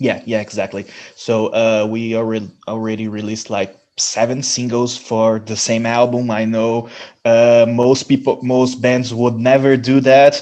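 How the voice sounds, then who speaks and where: A man with a Brazilian Portuguese accent speaks at a medium pitch and a fairly slow pace, his tone dark and mellow and his intonation flat and monotone. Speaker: metal band musician. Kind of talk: interview. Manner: halting, many fillers and restarts.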